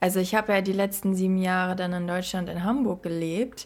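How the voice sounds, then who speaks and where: The woman's voice sits at a medium pitch. Her pace is moderate. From Germany. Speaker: podcast co-host. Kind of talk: casual chat.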